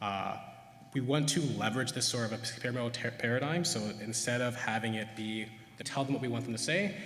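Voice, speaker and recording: A man of medium pitch speaks at a fairly quick pace, with audible room echo and noticeable background noise. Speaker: neuroscientist. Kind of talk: conference talk. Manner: fast; hesitant with many fillers.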